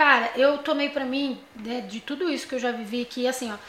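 Over noticeable background noise, a woman projects a raised, high-pitched voice at a moderate pace with fairly even intonation. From São Paulo, Morro Doce. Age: 20s. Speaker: podcast guest. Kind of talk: casual chat, personal testimony.

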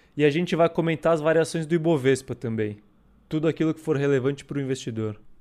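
At a very fast pace with ordinary pitch variation, the speech is on a very clean recording with a silent background. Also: man, fairly high pitch for a man. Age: 20s. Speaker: co-host, fund manager. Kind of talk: casual chat.

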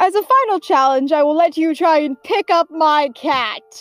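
A put-on character voice moves at a moderate pace over faint background music. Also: woman. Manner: grand, booming, mock-ominous.

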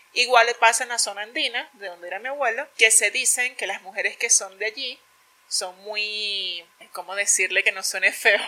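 A woman with a bright, sharp tone and fairly high pitch talks at a moderate pace, her pitch varying in an ordinary way and her loudness swinging widely. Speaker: podcast co-host. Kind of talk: casual chat.

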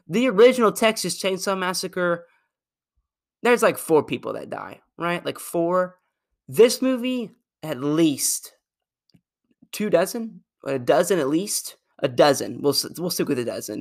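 The speech moves at a fairly slow pace with lively intonation and long, frequent pauses. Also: man, high pitch for a man. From Arkansas. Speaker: podcast host, film reviewer. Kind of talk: casual solo movie review.

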